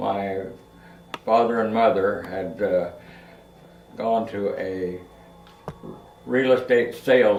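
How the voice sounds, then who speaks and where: A man's medium-pitched voice with a Midwestern American accent, very slow pace, fairly even intonation, long, frequent pauses and audible room echo. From Kansas. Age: 90s. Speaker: family elder telling life stories. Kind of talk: oral history interview. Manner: halting.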